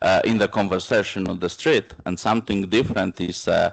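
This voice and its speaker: A man with a non-native accent speaks at a moderate pace in a fairly low pitch with fairly even intonation. The background is quiet and the sound dry and close with no echo. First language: Romani. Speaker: panel speaker, minority rights advocate. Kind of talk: conference panel discussion. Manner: halting, many filler sounds.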